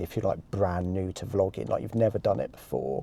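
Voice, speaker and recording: A man speaks with a Manchester accent. The recording is very clean, with a silent background. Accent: northern English (Manchester). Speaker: vlogger. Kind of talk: walking vlog monologue. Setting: in a car, then walking city streets. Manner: trembly at times; hesitant, filler-heavy.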